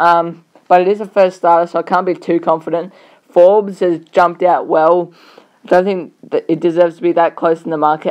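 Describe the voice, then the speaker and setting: A woman speaks at a fairly quick pace in a fairly low pitch, her intonation monotone and flat. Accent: Australian. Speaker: horse racing tipster. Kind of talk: racing preview commentary.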